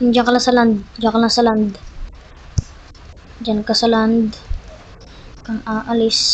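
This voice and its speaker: A soft-spoken woman at a fairly high pitch, very slow and flat in a monotone, with long, frequent pauses and noticeable background noise. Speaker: gaming YouTuber. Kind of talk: gameplay commentary.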